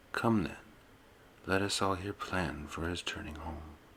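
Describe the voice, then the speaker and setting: A soft-spoken man talks with a very deep, low pitch and a bright, sharp tone. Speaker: ASMR channel host and reader. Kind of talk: ASMR poetry reading. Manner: soft-spoken, ASMR style.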